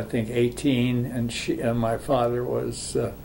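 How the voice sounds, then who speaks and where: An American-accented man at medium pitch, monotone and flat, with audible room echo and noticeable background noise. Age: 80s+. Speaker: grandfather sharing family history. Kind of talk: family oral history interview. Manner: halting, many fillers.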